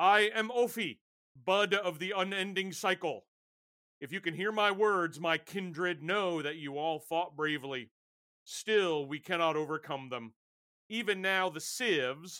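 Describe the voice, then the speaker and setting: Pitching his put-on character voice high, a man speaks at a moderate pace. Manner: grim, somber.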